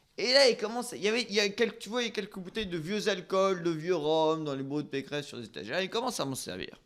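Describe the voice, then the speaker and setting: The speech races along at a very fast pace with hardly any pauses. Its tone is animated and its intonation lively. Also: man, high pitch for a man. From northern France. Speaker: talk show host. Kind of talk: casual chat.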